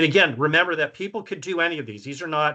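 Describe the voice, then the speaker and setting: A man speaks with an American accent and a bright, sharp tone. His pitch rises and falls in an ordinary way against a quiet background. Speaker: survey researcher presenting findings. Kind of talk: presentation. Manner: casual, filler-heavy.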